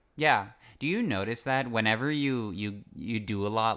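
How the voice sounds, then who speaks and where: With a Canadian accent, a man speaks at a fairly low pitch and with fairly even intonation. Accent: sounds Canadian. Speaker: podcast co-host. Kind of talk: casual chat.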